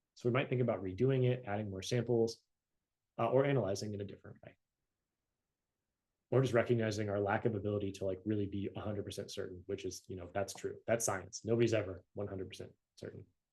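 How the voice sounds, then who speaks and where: At a very fast pace, a man talks in a fairly low pitch with a somewhat breathy, dark, mellow tone and fairly even intonation. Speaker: university lecturer. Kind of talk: recorded lecture. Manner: casual, conversational.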